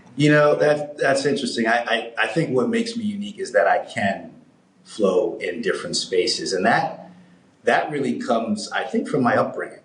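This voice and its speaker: A man speaking at a moderate pace amid audible room echo. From New York (Harlem, Manhattan). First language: German. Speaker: business executive. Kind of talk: interview conversation.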